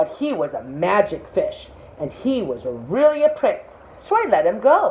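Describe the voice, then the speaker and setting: A woman uses a put-on character voice at a moderate pace while clear background noise plays behind her. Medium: read story. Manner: meek, reluctant.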